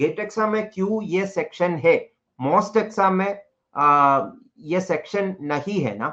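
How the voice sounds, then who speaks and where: A man's high voice in a Keralan accent, fairly slow, with ordinary pitch variation and a quiet background. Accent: Indian English, Malayali. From India, Kerala. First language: Malayalam. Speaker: teacher. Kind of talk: lecture. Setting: live online class. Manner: code-switching Hindi and English.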